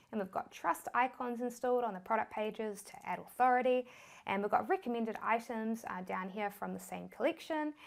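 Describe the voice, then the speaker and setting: A woman talks at a fairly quick pace with a fairly high pitch and lively intonation. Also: big swings in loudness. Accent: New Zealand. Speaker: online business educator. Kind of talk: tutorial.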